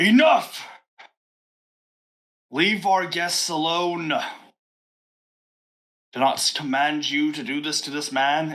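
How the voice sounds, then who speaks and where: A man puts on a booming character voice, fairly high-pitched, speaking at a very slow pace with long, frequent pauses. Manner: commanding, authoritative.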